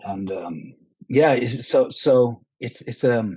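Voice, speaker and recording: With a Norwegian accent, a man speaks at a medium pitch in a dark, mellow tone. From Norway. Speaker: action film actor. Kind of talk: podcast interview. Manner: halting, many repetitions.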